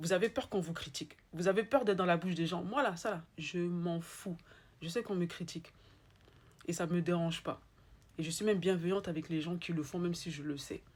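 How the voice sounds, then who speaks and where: The speaker has an Ivorian accent and ordinary pitch variation. The pace is fairly quick, broken by long, frequent pauses. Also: woman, fairly low pitch for a woman. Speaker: spiritual life coach. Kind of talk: motivational talk. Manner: animated; repetitive, emphatic.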